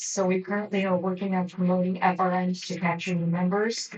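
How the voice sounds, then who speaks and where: Woman at a moderate pace with monotone, flat intonation. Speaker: general manager of homeowners association. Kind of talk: board meeting report. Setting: boardroom meeting.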